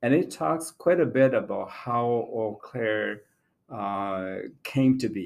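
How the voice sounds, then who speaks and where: Very slowly, a man with a Southeast Asian accent speaks at a medium pitch with lively intonation on a very clean recording with a silent background. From Laos/Thailand (Hmong refugee). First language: Hmong. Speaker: community historian. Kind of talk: interview.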